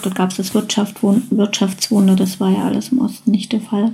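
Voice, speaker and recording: A woman of medium pitch has a somewhat breathy, dark, mellow tone, speaking at a moderate pace in monotone, flat intonation. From East Germany, then West Germany from age eight. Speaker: podcast contributor sharing personal story. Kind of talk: personal testimony.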